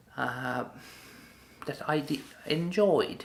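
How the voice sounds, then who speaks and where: A very slow pace in a non-native accent. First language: not English. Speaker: vlogger. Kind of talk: personal vlog monologue. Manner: halting.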